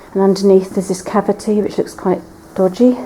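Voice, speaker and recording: Quiet and fairly quick, a woman speaks at medium pitch in a monotone, flat intonation over noticeable background noise. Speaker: urban explorer vlogger. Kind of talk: exploration walkthrough narration. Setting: inside and around an abandoned church. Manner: quiet, hushed.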